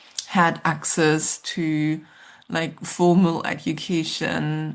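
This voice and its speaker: Against a quiet background, a woman speaks with a German accent. Her pace is very slow. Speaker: social worker and researcher. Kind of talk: interview conversation. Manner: hesitant, many fillers.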